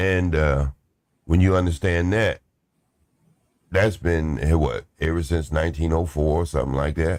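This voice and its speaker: The speech has fairly even intonation, a moderate pace, long, frequent pauses and very even loudness, in a very clean recording with a silent background. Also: man, very deep, low pitch for a man. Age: 60s. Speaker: live stream panel host. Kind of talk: casual panel chat.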